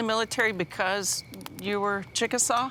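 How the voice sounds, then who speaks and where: A woman of medium pitch speaks at a moderate pace with a bright, sharp tone and ordinary pitch variation. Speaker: TV host. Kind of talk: interview questions.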